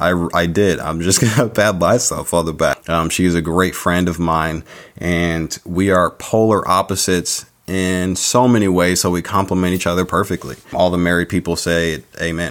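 This man has a very deep, low pitch and an American accent. His intonation stays fairly even. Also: moderate pace. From San Diego, California. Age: 30s. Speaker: podcast host. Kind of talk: solo podcast monologue.

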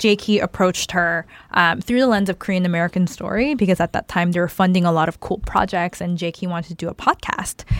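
A woman's voice in a Californian accent, with fairly even intonation and a dry, close sound with no echo. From Arcadia, Los Angeles area. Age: late 20s. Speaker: podcast co-host. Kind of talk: casual chat.

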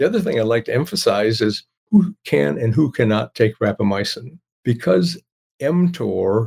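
Somewhat breathy and recorded with a dry, close sound and no echo, a man speaks at a fairly slow pace in a medium pitch that swings very widely. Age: 80s. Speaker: nutrition expert and author. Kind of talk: interview explaining science.

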